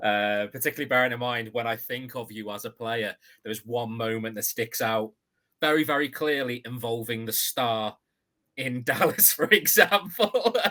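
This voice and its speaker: Bright and sharp in tone, a man's voice of medium pitch moves at a moderate pace with ordinary pitch variation. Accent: British. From UK. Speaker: podcast host. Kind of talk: interview.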